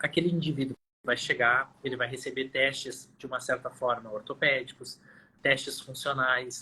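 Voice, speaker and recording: A man at medium pitch talks with a bright, sharp tone. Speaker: physiotherapist. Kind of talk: interview in a live stream. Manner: fast.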